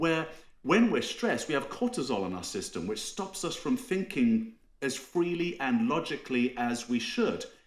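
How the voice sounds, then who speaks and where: With vocal fry and very wide pitch swings, a man speaks at a fairly high pitch and a moderate pace. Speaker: cybersecurity strategist. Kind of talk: podcast interview.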